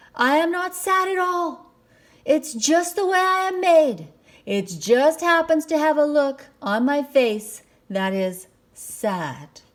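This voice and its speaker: In a put-on character voice, a woman talks fairly slowly at a high pitch. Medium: read story. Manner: polite, formal.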